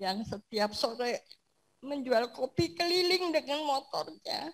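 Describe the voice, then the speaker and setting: Her pitch is high and swings very widely. The woman speaks at a very slow pace. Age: 70s. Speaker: church member giving testimony. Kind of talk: testimony.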